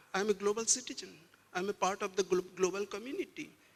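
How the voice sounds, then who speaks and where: Speaking in a Bengali accent, a man uses a high pitch at a moderate pace. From West Bengal, eastern India. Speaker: museum director. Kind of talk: panel discussion. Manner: halting, frequent word repetitions.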